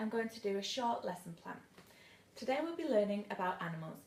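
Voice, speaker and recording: A woman in a Mancunian accent speaks at a fairly quick pace with medium pitch and lively intonation. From northern England, Manchester. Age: 20s. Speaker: teaching job applicant. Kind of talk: demonstration lesson; self-introduction video. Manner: formal.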